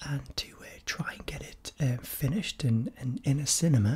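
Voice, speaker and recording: A man whispers in a gentle tone. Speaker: video creator. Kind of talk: soft-spoken casual vlog chat. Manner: soft-spoken, gentle, quiet close-mic talk. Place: home room.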